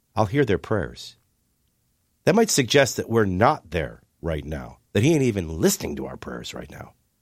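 A man with a fairly low voice and vocal fry talks at a moderate pace in a passionate tone, his pitch swinging very widely. The recording is very clean, with a silent background. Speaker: radio host. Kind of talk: radio interview, earnest conversational. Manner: earnest, passionate.

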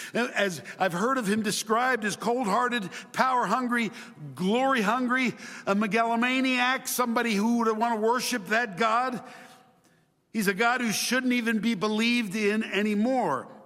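A man projects an extremely high, bright, sharp voice at a fairly slow pace, with fairly even intonation, very even loudness, long, frequent pauses and audible room echo. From Chile. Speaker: preacher. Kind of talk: sermon.

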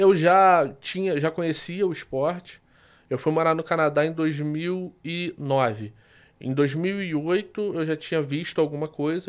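In a Rio de Janeiro accent, a man with a fairly high voice is heard on a very clean recording with a silent background. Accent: carioca. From Rio de Janeiro, Brazil. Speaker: sports betting tipster. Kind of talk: casual interview.

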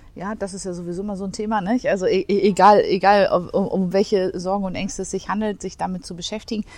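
Speaking at a very fast pace, a woman keeps her intonation monotone and flat. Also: medium pitch for a woman, big swings in loudness. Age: 40s. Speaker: office management consultant. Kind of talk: interview conversation. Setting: coworking space.

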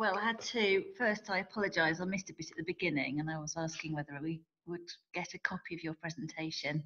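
Speaking at a fairly quick pace, a woman uses an ordinary speaking voice, fairly low in pitch, with ordinary pitch variation. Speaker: webinar participant asking question. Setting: video call.

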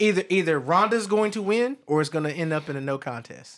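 A plain, everyday voice from a man, at a moderate pace with ordinary pitch variation. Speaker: podcast co-host. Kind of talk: casual chat. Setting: studio.

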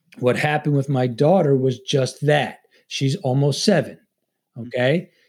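A somewhat breathy man with an American accent at a moderate pace. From Long Island, New York. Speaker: former Navy SEAL and FBI agent, leadership author. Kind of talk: interview conversation.

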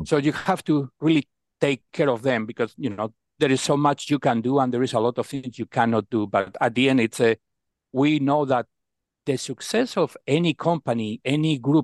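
Against a quiet background, a man talks at medium pitch and a moderate pace with ordinary pitch variation, the sound dry and close with no echo. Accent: Spanish. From Spain. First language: Spanish. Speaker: procurement executive. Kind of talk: interview.

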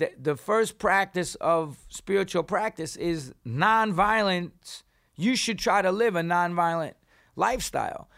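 A man with a New York accent, high pitch and ordinary pitch variation, an animated tone at a fairly slow pace, very even loudness, in a very clean recording with a silent background. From New York City. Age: 50s. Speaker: punk singer and author. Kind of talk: casual chat.

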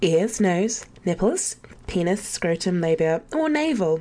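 A woman's medium-pitched voice in an English accent, fairly slow, with lively intonation. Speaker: caller. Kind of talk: reading aloud. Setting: phone call.

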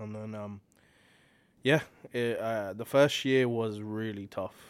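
A man with a British accent, fairly low in pitch, at a moderate pace. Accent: English (UK). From England, Slough/Hounslow near London. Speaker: R&B singer-songwriter. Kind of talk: casual interview chat. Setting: studio.

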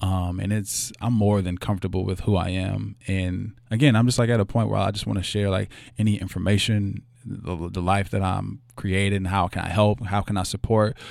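A man's fairly low voice, monotone and flat, at a moderate pace on a very clean recording with a silent background. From Louisville, Kentucky (West End). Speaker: doctoral student. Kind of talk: casual interview.

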